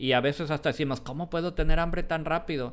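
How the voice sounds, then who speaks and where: A man with a high pitch and ordinary pitch variation speaks in a very clean recording with a silent background. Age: 40s. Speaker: podcast co-host. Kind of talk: casual chat. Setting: live stream.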